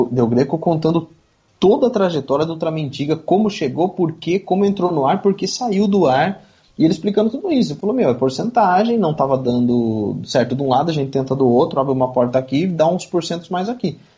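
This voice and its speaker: This man's fairly high, dark and mellow voice moves at a fairly quick pace with lively intonation. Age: 30s. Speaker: tokusatsu enthusiast and YouTuber. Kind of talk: podcast interview.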